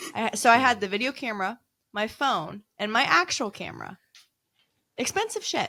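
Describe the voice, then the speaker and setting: On a very clean recording with a silent background, a woman speaks loud and animated with a bright, sharp tone, a fairly high pitch, lively intonation and long, frequent pauses. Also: moderate pace. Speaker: paranormal investigator. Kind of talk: casual chat.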